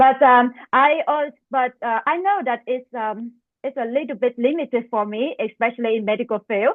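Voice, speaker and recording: A woman talks at a moderate speed, her voice pitched high. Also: ordinary pitch variation. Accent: Vietnamese. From Vietnam. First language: Vietnamese. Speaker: medical residency applicant. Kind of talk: mock job interview. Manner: halting, many fillers.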